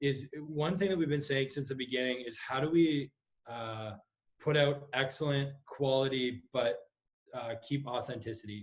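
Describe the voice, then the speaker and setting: A somewhat breathy man's voice at a moderate pace. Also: medium pitch for a man, ordinary pitch variation. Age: 20s. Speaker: pastor. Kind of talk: casual chat. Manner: halting, many fillers.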